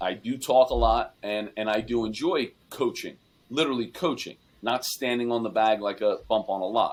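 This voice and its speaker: Recorded very cleanly against a silent background, a man talks at a medium pitch with ordinary pitch variation. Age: 40s. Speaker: baseball coach. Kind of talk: interview. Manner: loud; halting.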